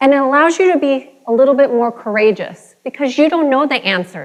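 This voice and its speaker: A woman speaks in an energetic tone. Her intonation is lively. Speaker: motivational speaker. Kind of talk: motivational keynote talk. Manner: energetic, engaging.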